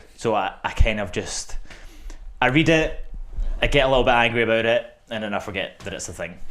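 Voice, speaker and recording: A man speaks with a Scottish accent at a medium pitch. He leaves long, frequent pauses. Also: ordinary pitch variation, fairly quick pace, big swings in loudness. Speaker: podcast guest. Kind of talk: casual chat.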